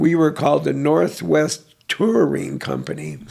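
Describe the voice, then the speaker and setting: Very slow speech from a man, with noticeable background noise. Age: 70s. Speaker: artist. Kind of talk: interview. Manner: halting.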